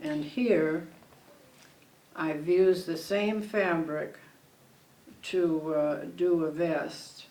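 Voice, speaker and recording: A woman with an American accent at a very slow pace, fairly even intonation, audible room echo and noticeable background noise. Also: fairly low pitch for a woman. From Connecticut. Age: 90s. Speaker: retired fabric shop owner. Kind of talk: oral history interview. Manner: halting.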